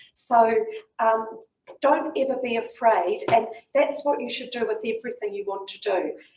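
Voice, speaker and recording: With a New Zealand accent, a woman speaks at a fairly high pitch and a moderate pace, with ordinary pitch variation. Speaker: community leader and fundraiser. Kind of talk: talk and Q&A to school students.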